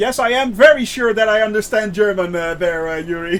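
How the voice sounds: The speaker moves at a fairly quick pace with fairly even intonation. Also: man, high pitch for a man.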